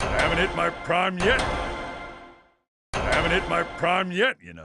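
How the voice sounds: Faint music plays behind a man doing a raspy, high-pitched cartoonish character voice. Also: moderate pace.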